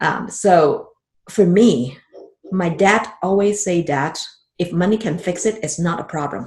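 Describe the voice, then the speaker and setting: A woman speaks at a fairly slow pace with a fairly low pitch. Her voice is somewhat breathy, with ordinary pitch variation. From Hong Kong. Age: 50s. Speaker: financial advisor. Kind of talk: podcast interview.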